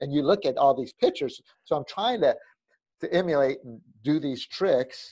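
Against a quiet background, a man with an American accent and a dark, mellow tone speaks at a moderate pace in a fairly high pitch, with lively intonation, big swings in loudness, and long, frequent pauses. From Southern California. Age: 50s. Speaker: pastor and former pro skateboarder; pastor. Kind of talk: casual chat. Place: home room. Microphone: video call.

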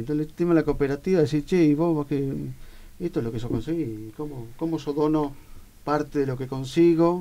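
A man with a Rioplatense accent talks at a fairly quick pace in a fairly high pitch with a dark, mellow tone. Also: ordinary pitch variation. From Argentina, La Plata. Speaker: radio host. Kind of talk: radio interview. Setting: studio. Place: studio. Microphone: studio mic.

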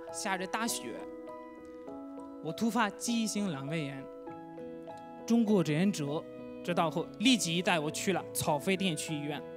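Clear music plays behind a man speaking fairly slowly at a high pitch. He leaves long, frequent pauses. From Pakistan. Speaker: foreign university teacher. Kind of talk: personal story narration. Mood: warm, earnest, grateful. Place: stage. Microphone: handheld.

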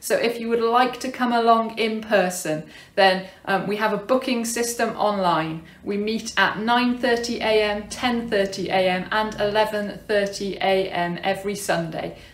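Very slowly and with fairly even intonation, a woman speaks in a room with audible echo. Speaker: church minister. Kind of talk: service welcome and announcements. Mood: warm and welcoming. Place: home room. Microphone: phone near.

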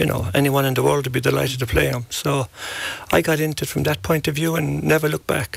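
Very fast, a man's speech comes through dry and without echo. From Ireland, County Kerry; Ireland. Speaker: golf coach. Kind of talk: interview. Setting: radio studio. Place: studio. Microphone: studio mic.

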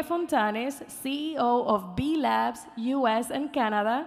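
High pitch and ordinary pitch variation from a woman. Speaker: event host. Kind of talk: event announcements. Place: stage. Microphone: podium.

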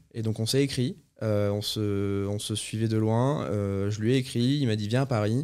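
The setting is quiet while a man speaks. His delivery is moderately paced, with intonation that stays fairly even. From south-west France, near Bordeaux; south-west France. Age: 30s. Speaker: chef; podcast guest. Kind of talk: casual interview. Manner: hesitant, many fillers. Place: studio. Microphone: studio mic.

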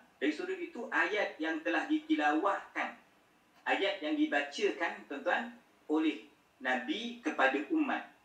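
A man with a high pitch makes very wide pitch swings, and there is audible room echo. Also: fairly slow pace. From Malaysia. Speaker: Islamic scholar and teacher; teacher. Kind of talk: lecture. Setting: video call. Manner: soft-spoken. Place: home room. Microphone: video call.

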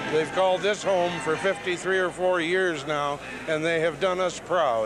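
On a dry recording with no echo but noticeable background noise, a man with a fairly high pitch speaks at a fairly slow pace with ordinary pitch variation. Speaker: arena public address announcer. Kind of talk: interview answer, reflective. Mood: nostalgic, a bit sad. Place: stadium. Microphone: handheld.

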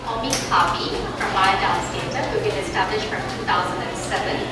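Loud background noise and audible room echo around a woman speaking at a fairly slow pace. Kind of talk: presentation talk. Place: meeting room. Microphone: camera far.

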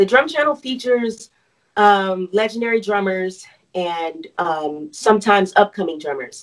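A woman with a General American accent talks at a moderate pace with lively intonation over a quiet background. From US, Arizona. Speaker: bass player and vocalist; guest. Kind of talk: interview. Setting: video call. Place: home room.

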